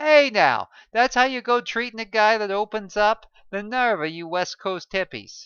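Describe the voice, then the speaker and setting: Put on as a character voice, this squeaky, fairly high-pitched delivery keeps a moderate pace. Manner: angry, scolding.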